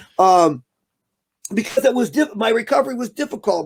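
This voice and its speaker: A man is speaking here. His pitch swings very widely. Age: 60s. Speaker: stand-up comedian. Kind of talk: casual chat.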